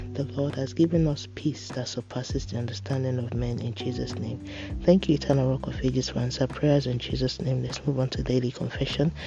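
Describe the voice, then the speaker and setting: Over music in the background, a man speaks in a solemn tone at a fairly quick pace. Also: medium pitch for a man, ordinary pitch variation. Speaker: prayer podcast host. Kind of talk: fervent devotional prayer with decrees. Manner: fervent, earnest, emphatic; solemn, rhythmic, declarative.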